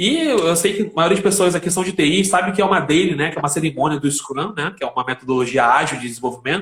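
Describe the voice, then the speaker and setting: A man talks at a very fast pace. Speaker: IT professional and live stream host. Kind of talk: casual live stream chat.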